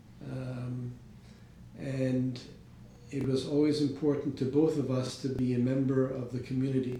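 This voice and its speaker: With an American accent, a man speaks at a medium pitch in monotone, flat intonation. Noticeable background noise and audible room echo fill the recording. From New York (Riverdale, Bronx). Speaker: interviewee, retiring businessman. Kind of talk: oral history interview. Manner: halting, many fillers.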